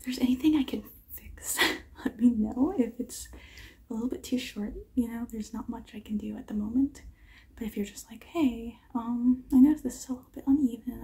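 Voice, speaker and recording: Soft-spoken and high-pitched, a woman talks at a fairly quick pace in a dark, mellow tone with fairly even intonation. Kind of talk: roleplay talk to the viewer, soft and gentle. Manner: soft, quiet ASMR speaking. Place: home room. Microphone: phone near.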